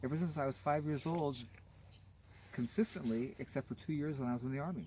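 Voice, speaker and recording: A somewhat breathy man with a fairly high pitch, dark, mellow tone, lively intonation, and a fairly quick pace broken by long, frequent pauses. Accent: American. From US West Coast, Los Angeles. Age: 60s. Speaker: gardener. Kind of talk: garden tour talk, casual conversation. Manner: animated.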